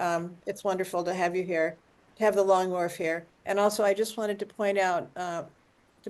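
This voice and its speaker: At a fairly quick pace, a woman with an American accent speaks at medium pitch with fairly even intonation in an unremarkable speaking voice. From US Midwest. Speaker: community member at online talk. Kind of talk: audience comment in video call. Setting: video call.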